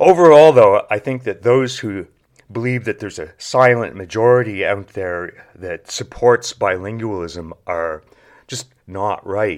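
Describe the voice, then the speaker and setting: A man with a Maritime Canadian accent speaks at a fairly slow pace in a fairly low pitch, his intonation lively and his loudness swinging widely, on a very clean recording with a silent background. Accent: English Canadian (Maritimes). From New Brunswick, Canada (Saint John). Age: 60s. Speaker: podcast host, former political science professor. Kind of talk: monologue lecture. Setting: at a desk, solo recording.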